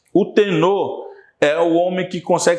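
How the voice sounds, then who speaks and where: A man at a very slow pace, with audible room echo. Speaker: teacher. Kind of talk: lecture.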